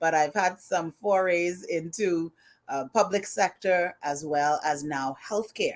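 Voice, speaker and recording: The speaker has a Bahamian accent and ordinary pitch variation. Delivery is at a very slow pace. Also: woman, fairly low pitch for a woman. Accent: Bahamian accent noticeable. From Bahamas. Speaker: HR consultant. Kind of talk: live stream interview.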